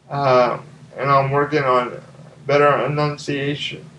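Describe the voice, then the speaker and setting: A man talks at a very slow pace with a fairly high pitch. Noticeable background noise sits behind him. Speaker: language video blogger. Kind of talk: vlog monologue. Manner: slurred speech at times; hesitant, with fillers.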